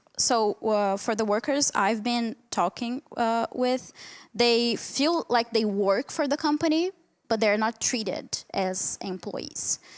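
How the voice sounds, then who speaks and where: Speaking at a very slow pace with a Portuguese accent and ordinary pitch variation, the voice comes through in a very clean recording with a silent background and a dry, close sound with no echo. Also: woman, very even loudness. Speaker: academic researcher. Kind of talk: conference Q&A answer. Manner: halting, many fillers.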